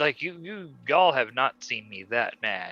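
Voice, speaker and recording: Recorded with a dry, close sound and no echo, a man talks with a slight Southern US accent. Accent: slight southern drawl on certain words. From Germany, later US South. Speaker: animator. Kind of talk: casual chat. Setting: live stream.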